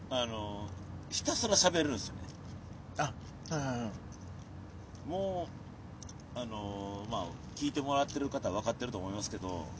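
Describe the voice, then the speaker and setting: Speaking with a Kansai accent, a man at medium pitch moves at a moderate pace, his pitch swinging very widely and his speech broken by long, frequent pauses. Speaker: comedian. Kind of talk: casual chat. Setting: outdoors in a park.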